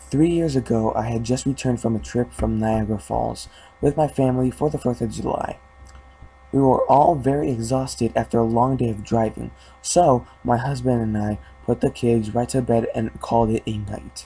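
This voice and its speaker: Noticeable background noise behind a man's medium-pitched speech, moderate in pace, with ordinary pitch variation. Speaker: creepypasta narrator. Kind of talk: horror story reading. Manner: halting, some stuttering.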